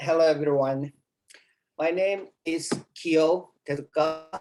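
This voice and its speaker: This is a man speaking. He has a Japanese accent. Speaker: Zen temple abbot. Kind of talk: talk. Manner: halting.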